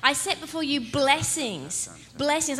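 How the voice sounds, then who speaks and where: With a raised, projected voice, a woman speaks at a high pitch and a fairly slow pace. Noticeable background noise is present. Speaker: pastor. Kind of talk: sermon. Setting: church.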